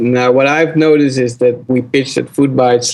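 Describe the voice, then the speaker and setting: A man speaks with a Dutch accent at medium pitch. His pace is moderate and his intonation fairly even. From Netherlands. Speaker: startup founder. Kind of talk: interview.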